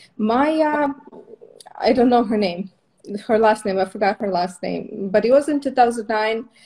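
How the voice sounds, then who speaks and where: At a moderate pace, a woman with an Eastern European accent speaks in a dark, mellow tone, her fairly high pitch showing ordinary variation, with long, frequent pauses. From Moldova. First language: Russian. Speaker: permanent makeup trainer. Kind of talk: casual interview.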